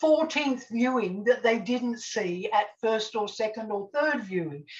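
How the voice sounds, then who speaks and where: Speaking very slowly with an Australian accent, a woman uses a high pitch and lively intonation. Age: 70s. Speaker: TV scriptwriter. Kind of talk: casual chat.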